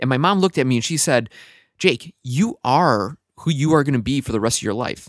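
Here is a man's plain, everyday voice, medium in pitch, with lively intonation at a fairly quick pace. The sound is dry and close with no echo, on a very clean recording with a silent background. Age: 20s. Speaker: podcast host. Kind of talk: casual interview podcast.

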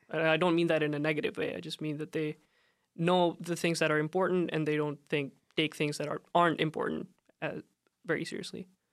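Monotone and flat, a man speaks in a fairly high pitch at a fairly quick pace. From India. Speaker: university student. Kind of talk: interview. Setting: studio.

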